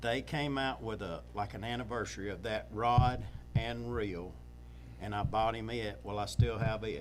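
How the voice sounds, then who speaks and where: Spoken at a moderate pace with a Mississippi accent, the voice carries audible room echo. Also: man. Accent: US Southern (Mississippi). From Northeast Mississippi. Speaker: fishing guide. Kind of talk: casual interview chat.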